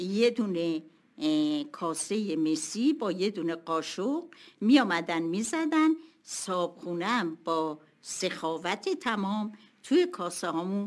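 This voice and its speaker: Lively intonation runs through speech delivered at a very slow pace. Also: woman, medium pitch for a woman. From Tehran, Iran. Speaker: retired school owner. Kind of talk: interview.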